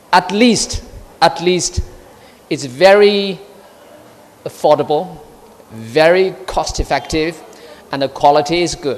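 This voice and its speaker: The speaker talks very slowly in a Chinese accent, leaving long, frequent pauses. Noticeable background noise is present. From China. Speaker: diplomat. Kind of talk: speech. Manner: halting.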